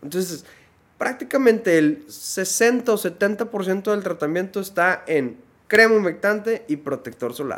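A man speaks with a northern Mexican accent and lively intonation. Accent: northern Mexican (Monterrey) Spanish. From Monterrey, northern Mexico. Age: 30s. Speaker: dermatologist. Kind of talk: casual interview chat.

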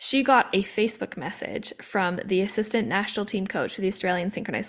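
A woman with a Canadian accent talks in a normal speaking voice at medium pitch, with ordinary pitch variation and a fairly quick pace. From Canada, Vancouver. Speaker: former Olympic athlete and coach. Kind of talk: casual chat.

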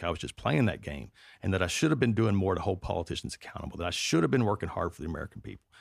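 Speaking at a very fast pace with lively intonation and vocal fry, a man with a slight Southern US accent is heard on a very clean recording with a silent background. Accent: mild Southern US. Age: 40s. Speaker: podcast host. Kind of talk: comedic monologue and interview. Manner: joking, irreverent.

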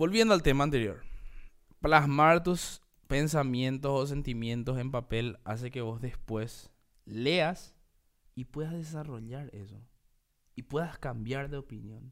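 A man at a fairly slow pace with ordinary pitch variation and long, frequent pauses, on a very clean recording over a silent background. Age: 30s. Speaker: podcast host. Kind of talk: solo monologue podcast. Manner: casual, halting with fillers.

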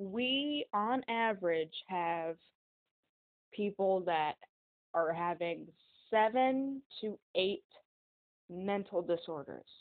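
A woman speaks with an American accent at a medium pitch. Her pace is very slow. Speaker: podcast host. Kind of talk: casual monologue. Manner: halting.

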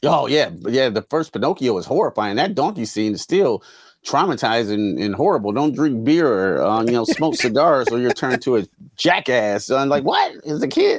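A man with an unremarkable speaking voice at a medium pitch talks at a moderate pace with lively intonation, on a very clean recording with a silent background. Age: 40s. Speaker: CGI artist and podcast co-host. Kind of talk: casual chat.

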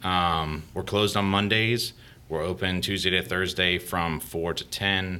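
A man with an American accent speaks at a fairly slow pace. His tone is bright and sharp. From Florida. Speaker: brewery owner. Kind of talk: casual interview.

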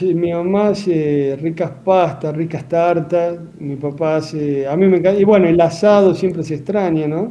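In a room with audible echo, a man talks at a fairly slow pace with a high pitch and fairly even intonation. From Argentina, Santa Fe province. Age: 30s. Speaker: cardiac surgeon. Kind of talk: radio interview.

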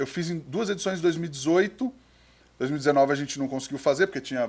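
A man speaks in an ordinary speaking voice, his pitch fairly high with ordinary variation. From interior of São Paulo state, Brazil (Penápolis). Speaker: restaurant owner and podcaster. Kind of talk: casual chat.

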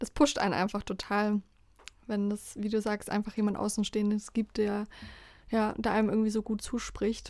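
The speech has a moderate pace and monotone, flat intonation. The recording is very clean, with a silent background. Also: woman, fairly high pitch for a woman. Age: 20s. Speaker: podcast co-host, student. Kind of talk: casual chat.

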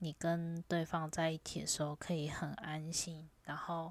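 Very deep and low for a woman, her voice stays monotone with flat intonation on a very clean recording with a silent background. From Taiwan. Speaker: vlogger. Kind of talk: casual monologue.

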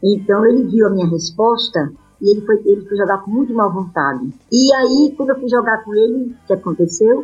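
Fairly high-pitched and somewhat breathy, a woman speaks at a moderate pace with hardly any pauses. Her intonation is lively and her loudness swings widely. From Brazil, Maceió, Alagoas. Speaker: amateur tennis player. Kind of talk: interview. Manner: animated.

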